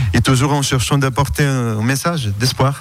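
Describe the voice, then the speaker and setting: A man talks fairly slowly, his pitch varying in an ordinary way. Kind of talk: radio interview.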